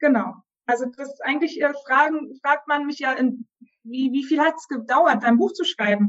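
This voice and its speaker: Using ordinary pitch variation, a woman with a high pitch talks at a moderate pace. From Germany, moved to Turkey at 11. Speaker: psychologist, author and coach. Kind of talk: interview.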